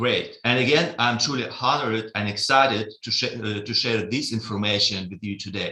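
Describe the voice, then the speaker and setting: Speaking at a moderate pace, a man with a Russian accent has a medium pitch, a bright, sharp tone and ordinary pitch variation. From Russia, Vladivostok. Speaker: trading software developer. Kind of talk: webinar presentation. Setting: live webinar. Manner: halting, many fillers.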